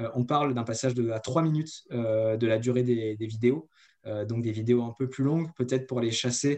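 Fairly even intonation marks a man speaking at a medium pitch. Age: 30s. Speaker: marketing agency co-founder. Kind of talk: interview. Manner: hesitant, many fillers.

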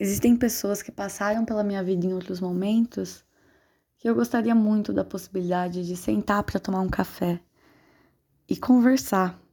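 This is a very clean recording with a silent background. The voice has a dark, mellow tone, a moderate pace, and ordinary pitch variation. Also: woman, medium pitch for a woman. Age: 20s. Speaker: podcast host. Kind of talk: personal monologue.

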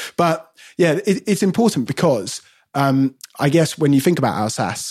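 Recorded very cleanly against a silent background with a dry, close sound and no echo, a man with a London accent talks at a moderate pace using lively intonation. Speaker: wine podcast co-host. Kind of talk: casual chat. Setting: home studio outbuilding.

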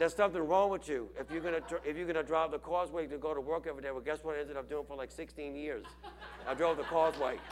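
At a very fast pace, a man speaks with fairly even intonation and a fairly high pitch. Noticeable background noise sits behind him. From Louisiana, Chalmette (New Orleans area). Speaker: pastor. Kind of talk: sermon. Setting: church.

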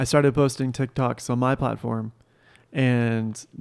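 The voice is a normal speaking voice with fairly even intonation. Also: man. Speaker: podcast co-host, son of S1. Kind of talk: casual chat. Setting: kitchen table, home.

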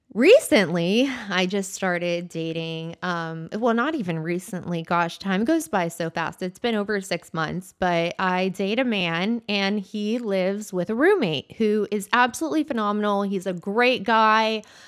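This very clean recording has a silent background and a woman speaking at medium pitch with an unremarkable speaking voice. She hardly pauses at all. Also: fairly slow pace. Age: 30s. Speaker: solo podcaster. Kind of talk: casual monologue. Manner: informal, filler-heavy.

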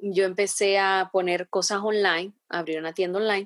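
In an unremarkable speaking voice, a woman with a medium pitch talks at a moderate pace, the sound dry and close with no echo. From Honduras, San Pedro Sula. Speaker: entrepreneur. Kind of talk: interview.

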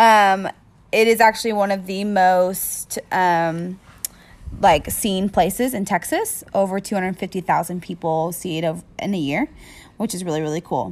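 A woman's medium-pitched voice moves at a fairly slow pace with ordinary pitch variation. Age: 20s. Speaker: podcast host. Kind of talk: casual chat. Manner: animated.

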